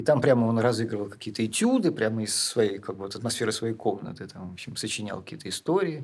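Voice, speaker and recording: Hardly pausing, a man talks at a very fast pace and medium pitch, with ordinary pitch variation and big swings in loudness. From Russia, St Petersburg. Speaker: film director and poet. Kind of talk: interview.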